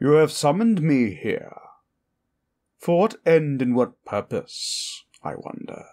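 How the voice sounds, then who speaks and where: This is a put-on character voice with very wide pitch swings. The pace is fairly slow. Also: man, fairly high pitch for a man. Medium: solo performance. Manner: sly, mocking, condescending.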